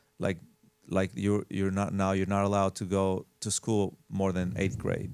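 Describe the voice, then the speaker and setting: The recording is very clean, with a silent background. The speaker has an Albanian accent. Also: man. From Albania, moved to Las Vegas at 14. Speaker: house flipper and realtor. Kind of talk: casual interview chat. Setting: studio. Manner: halting, many fillers.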